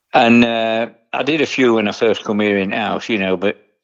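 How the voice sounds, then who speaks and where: A man speaks with an East Midlands accent. His pace is moderate. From England, Nottinghamshire. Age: 70s. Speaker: retired tattoo artist. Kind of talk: interview. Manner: casual, conversational.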